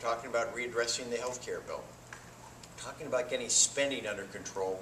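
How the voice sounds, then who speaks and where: Noticeable background noise and audible room echo accompany a man speaking with an American accent. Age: 60s. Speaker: political candidate. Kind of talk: campaign speech. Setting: forum with live audience.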